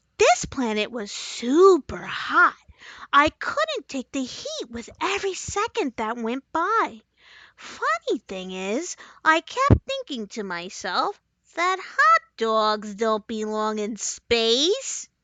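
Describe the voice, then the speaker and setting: A female-sounding put-on character voice sits at a high pitch. The pace is very slow. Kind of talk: children's bedtime story. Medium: read story. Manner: cheerful, earnest.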